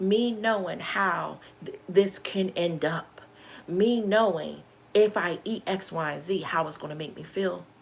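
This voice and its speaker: A woman talks fairly slowly in an ordinary speaking voice. Her pitch sits in the medium range, with ordinary pitch variation. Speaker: live streamer. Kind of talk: motivational talk on a livestream.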